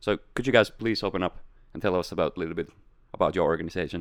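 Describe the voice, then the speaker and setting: A man with a Finnish accent talks at a very fast pace in a very deep, low voice. His pitch varies in an ordinary way against a quiet background. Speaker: podcast host. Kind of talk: casual chat. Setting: studio.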